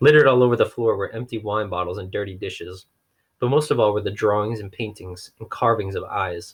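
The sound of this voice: The background is quiet. The speaker uses an unforced reading voice.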